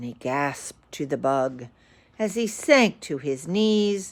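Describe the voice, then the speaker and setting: A woman puts on a character voice. Her pitch is very deep and low. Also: fairly slow pace. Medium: read story.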